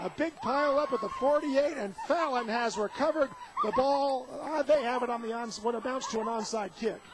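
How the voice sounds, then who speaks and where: Noticeable background noise sits behind a man with an extremely high pitch. He talks fairly quickly with ordinary pitch variation. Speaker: radio play-by-play announcer. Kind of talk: sports radio play-by-play.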